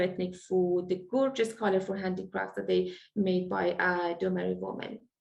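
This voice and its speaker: A woman with an Iranian accent at a moderate pace. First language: Farsi. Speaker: event moderator. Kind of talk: introduction. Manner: halting.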